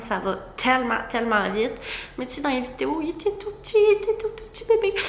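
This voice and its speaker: The voice moves at a fairly quick pace with very wide pitch swings and big swings in loudness. Noticeable background noise sits behind it. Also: woman. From Quebec, Gaspé peninsula. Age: 20s. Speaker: content creator, vlogger. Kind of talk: casual chat to camera. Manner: hesitant, many fillers.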